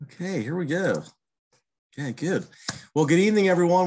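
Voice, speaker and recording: A man with an American accent speaks, and the background is quiet. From Pittsburgh, Pennsylvania. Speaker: master gardener coordinator; presenter. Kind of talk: online presentation. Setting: video call. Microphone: webcam.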